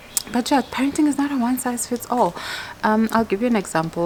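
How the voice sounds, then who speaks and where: Against noticeable background noise, a woman talks at a fairly quick pace. Her intonation is lively. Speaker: mom vlogger. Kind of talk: casual vlog talk to camera. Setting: outdoors. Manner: fast.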